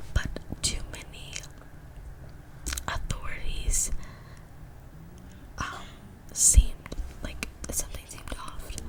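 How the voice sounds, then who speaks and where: A woman whispering at a very slow pace, with long, frequent pauses, big swings in loudness and noticeable background noise. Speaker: ASMR true crime storyteller. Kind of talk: ASMR true crime narration.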